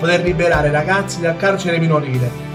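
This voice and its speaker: Someone talks at a very fast pace with ordinary pitch variation. Music plays in the background. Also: man. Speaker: poet reciting his own poems. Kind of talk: poetry reading in standard Italian.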